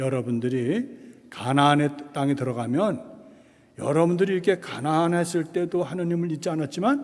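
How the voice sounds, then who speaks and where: Pitched fairly high for a man, this male voice moves at a moderate pace with ordinary pitch variation and audible room echo. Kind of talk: lecture. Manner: casual, conversational.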